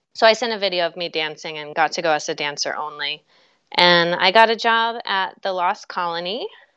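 With an American accent and a plain, everyday voice, a woman talks at a fairly quick pace, her pitch varying ordinarily while her loudness swings widely. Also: fairly low pitch for a woman. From West Virginia, US. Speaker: musical theater performer. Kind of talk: casual interview.

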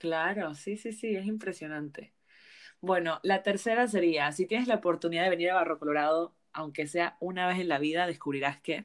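A normal speaking voice: a woman, fairly low-pitched, with ordinary pitch variation and a moderate pace, in a very clean recording with a silent background. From Panama. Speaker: travel podcast host. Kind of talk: casual interview.

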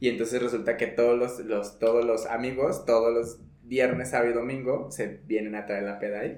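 Audible room echo surrounds a man with a medium pitch and monotone, flat intonation. He keeps a moderate pace with hardly any pauses. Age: 20s. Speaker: podcast host, yoga teacher. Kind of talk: casual chat.

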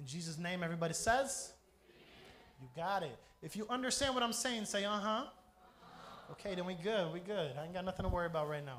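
Animated and fairly quick, a man speaks at a high pitch with an American accent. His intonation is lively, and audible room echo surrounds him. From Brazil, raised by American missionaries. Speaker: pastor. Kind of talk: sermon.

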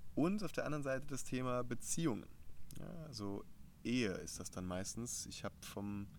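Audible room echo surrounds the voice. A man talks with lively intonation. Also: medium pitch for a man, moderate pace. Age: 20s. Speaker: mental coach and leadership trainer. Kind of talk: casual interview. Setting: outdoors in a garden.

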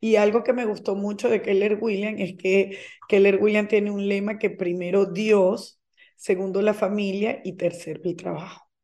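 A woman with a dark, mellow tone speaks at a fairly slow pace in a monotone, flat intonation. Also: medium pitch for a woman. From Venezuela. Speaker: real estate broker and teacher. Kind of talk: interview.

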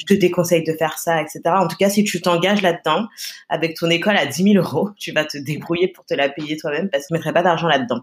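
A woman's animated, very fast speech, fairly low in pitch with ordinary pitch variation. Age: 20s. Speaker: press agency co-founder. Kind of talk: interview.

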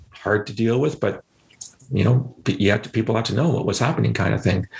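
Noticeable background noise accompanies a man speaking in a fairly low pitch with a Canadian accent. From Canada, London, Ontario. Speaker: former intelligence analyst and counterterrorism expert. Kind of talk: podcast interview.

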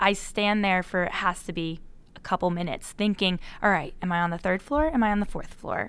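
A woman at a fairly quick pace, an ordinary speaking voice at medium pitch with ordinary pitch variation. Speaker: podcast host. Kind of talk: interview podcast discussion.

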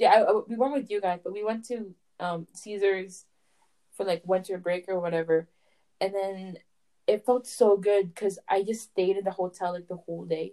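In a Canadian accent, a woman speaks with a dark, mellow tone and ordinary pitch variation. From Canada. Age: 20s. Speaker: podcast co-host. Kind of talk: casual chat. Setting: video call.

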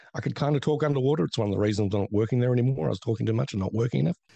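A dark, mellow voice with an Australian accent and ordinary pitch variation, dry and close with no echo over a quiet background. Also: man. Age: 50s. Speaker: film critic and podcaster. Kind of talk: casual chat.

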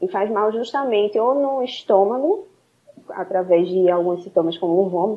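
This woman has an unremarkable speaking voice. She talks at a moderate pace with lively intonation. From Recife, Brazil. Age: 20s. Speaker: nutritionist. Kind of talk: interview.

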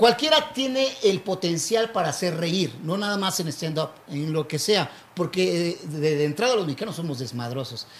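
This man talks at a moderate pace with hardly any pauses. His pitch is high and his intonation lively. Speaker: street comedian. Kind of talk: casual chat. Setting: live show with small audience.

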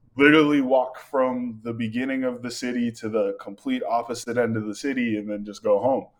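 A man with an American accent and an unremarkable speaking voice talks at a fairly quick pace in a medium pitch with fairly even intonation. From Greater Boston, Massachusetts (Malden). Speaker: photographer and filmmaker. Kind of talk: casual interview chat.

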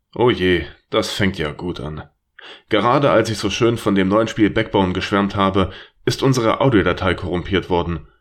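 On a very clean recording with a silent background, a man speaks in a plain, everyday voice at a fairly low pitch with lively intonation. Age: 30s. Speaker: podcast host and gamer. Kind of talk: casual chat; scripted disclaimer.

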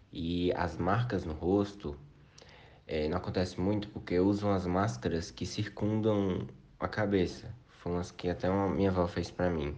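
With audible room echo around him, a man with a very deep, low voice speaks at a moderate pace with fairly even intonation. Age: 20s. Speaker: university student. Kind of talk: recorded testimony. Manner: casual.

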